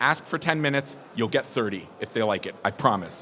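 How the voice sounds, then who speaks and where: With noticeable background noise around him, a man talks at a fairly quick pace with ordinary pitch variation. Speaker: conference speaker on retail sales. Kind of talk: presentation to live audience. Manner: fast.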